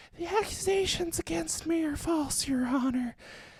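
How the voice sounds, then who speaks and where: A man uses a put-on character voice at an extremely high pitch. He speaks at a moderate pace. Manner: creepy, puppet-like.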